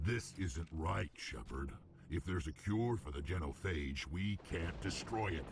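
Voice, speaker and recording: Over clear background noise, a man puts on a character voice with very deep, low pitch, speaking at a moderate pace. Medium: video game. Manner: gruff, blunt.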